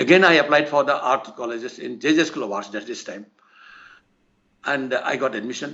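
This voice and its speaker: A man speaks in an Assamese accent at fairly high pitch. His pace is fairly quick, broken by long, frequent pauses. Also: ordinary pitch variation. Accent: Assamese Indian English. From India, Assam (Nagaon district). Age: 80s+. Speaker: painter. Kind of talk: interview. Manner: halting, many fillers.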